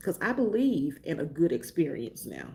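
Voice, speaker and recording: A woman speaks with a Mississippi accent at a moderate pace. Her voice is medium in pitch. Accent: Southern US, Mississippi. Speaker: lifestyle and travel vlogger. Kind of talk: casual chat.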